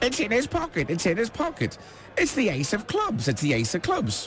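Someone does a put-on character voice at a moderate pace. Background noise is clearly audible. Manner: squawking, repetitive.

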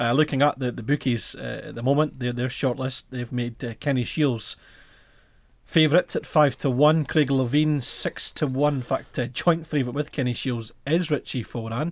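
Here a man speaks in a Scottish Highlands accent at medium pitch and a moderate pace. His intonation is fairly even, and the recording is very clean, with a silent background. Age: 20s. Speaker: football fan radio host. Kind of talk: casual chat. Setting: studio.

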